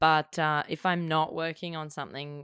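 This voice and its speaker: The recording is very clean, with a silent background. A woman speaks with an Australian accent. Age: 20s. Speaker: actor and filmmaker. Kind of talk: casual chat.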